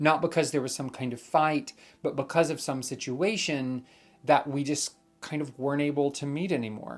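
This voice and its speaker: Here, the accent is American and the speaker is a man. No background sound intrudes on this very clean recording. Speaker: vlogger. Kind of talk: vlog monologue. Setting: at home. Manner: loud, boisterous when filming.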